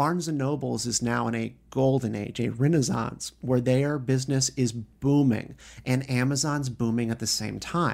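A man speaks in a normal speaking voice at medium pitch, with fairly even intonation, a moderate pace and hardly any pauses. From US South, North Carolina (Raleigh). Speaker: media director at a consumer advocacy group. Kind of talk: casual interview. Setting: in person, Washington D.C.

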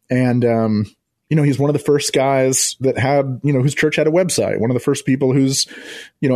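Dark and mellow, this man's voice moves at a fairly quick pace. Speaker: podcast producer and former pastor. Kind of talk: radio interview.

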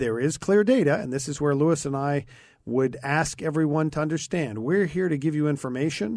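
Against a quiet background, a man with an ordinary speaking voice talks at a fairly quick pace, his fairly high pitch showing ordinary pitch variation. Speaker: guest radio host, former mayor. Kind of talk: talk radio discussion. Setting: radio studio.

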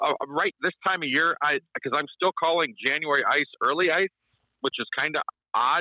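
With an Upper Midwest accent, a man talks at a moderate pace in a fairly high voice, his intonation fairly even and his loudness very even. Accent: Upper Midwest American. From South Dakota. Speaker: ice fishing guide. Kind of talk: radio interview.

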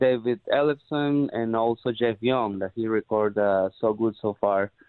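This is a man with a Spanish accent. His pitch varies in an ordinary way. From Peru. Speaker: rock drummer. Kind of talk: casual interview.

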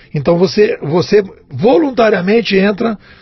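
A man's voice with ordinary pitch variation. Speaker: digital strategy consultant and writer. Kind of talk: casual chat.

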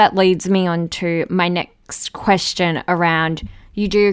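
With an Australian accent, a woman speaks at a fairly low pitch, using ordinary pitch variation. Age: 20s. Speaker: podcast host. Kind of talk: casual interview chat. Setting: remote call.

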